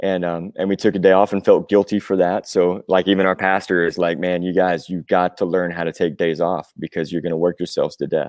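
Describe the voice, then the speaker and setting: Speaking at a fairly quick pace, a man with an American accent has a very deep, low pitch and a monotone, flat intonation. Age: 40s. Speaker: rock musician, singer and drummer. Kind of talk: podcast interview. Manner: casual, with frequent fillers.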